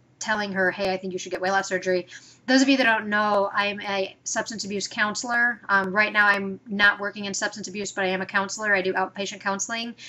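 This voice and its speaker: A woman speaks at a medium pitch with a bright, sharp tone and fairly even intonation. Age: 30s. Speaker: counselor and weight loss vlogger. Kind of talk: casual vlog monologue. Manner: fast; filler-heavy, frequent ums.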